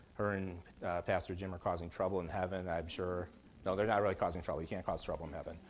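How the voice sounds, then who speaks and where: A man's very deep, low voice in a monotone, flat intonation at a very fast pace. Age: 50s. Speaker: Bible teacher. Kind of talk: Bible study teaching. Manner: halting, many fillers.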